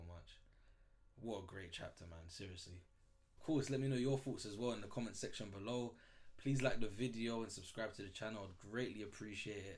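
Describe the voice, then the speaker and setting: A man speaks in a fairly low pitch with an animated tone. His voice is somewhat breathy, and the room echo is audible. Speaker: manga reaction youtuber. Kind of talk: casual reaction commentary. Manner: fast.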